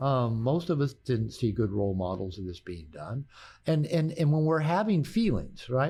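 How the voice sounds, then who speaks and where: Somewhat breathy and with a West Coast accent, the voice moves at a moderate pace through very wide pitch swings on a very clean recording with a silent background. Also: man. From US Pacific Northwest, Bellevue near Seattle. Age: 60s. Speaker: therapist and author. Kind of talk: podcast interview. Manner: halting.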